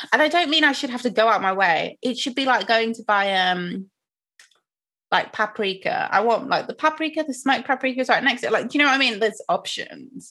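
A woman with a British accent speaks fairly quickly in a high, bright, sharp voice with lively intonation. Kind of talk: casual chat. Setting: video call.

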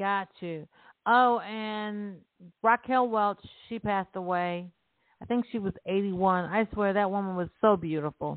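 With fairly even intonation, a woman talks at a fairly slow pace in an unremarkable speaking voice of medium pitch. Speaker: radio host. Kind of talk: casual banter podcast chat. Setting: online radio show.

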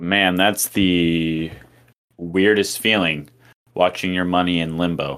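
Very slowly and in a monotone, flat intonation, a man speaks with a very deep, low pitch. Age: 20s. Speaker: musician. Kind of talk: casual chat.

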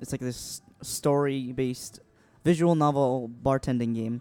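A man with a dark, mellow tone speaks with fairly even intonation in an American accent. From Vietnam. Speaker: musician. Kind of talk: casual chat.

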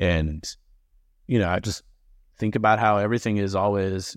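With a normal speaking voice, a man talks at a moderate pace and fairly low pitch, his intonation fairly even, the sound dry and close with no echo against a quiet background. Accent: American. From Massachusetts. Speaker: real estate business owner. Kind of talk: panel interview.

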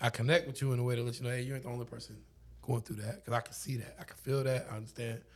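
A man of medium pitch speaks very fast with a somewhat breathy voice and fairly even intonation. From Oklahoma, Lawton. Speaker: DJ. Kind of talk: casual chat. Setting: home studio.

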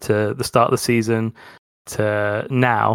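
Recorded very cleanly against a silent background, a man speaks at a medium pitch in a monotone with flat intonation. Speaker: podcast co-host. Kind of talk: casual football podcast chat.

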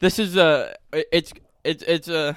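A man speaks slowly, with fairly high pitch and ordinary pitch variation. His tone is fairly bright, clear and smooth.

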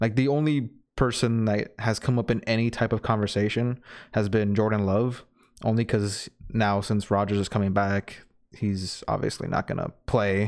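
A man talks in a normal speaking voice, fairly low in pitch, at a moderate pace with fairly even intonation and very even loudness. The recording is very clean with a silent background. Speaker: sports podcast co-host. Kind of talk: casual chat about NFL news.

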